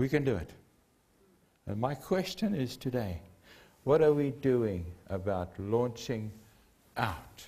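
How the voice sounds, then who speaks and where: A man's dark, mellow voice with a South African accent, very slow with long, frequent pauses and very wide pitch swings. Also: medium pitch for a man. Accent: Afrikaans South African English. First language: Afrikaans. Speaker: preacher. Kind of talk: sermon. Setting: church. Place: church. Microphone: lapel.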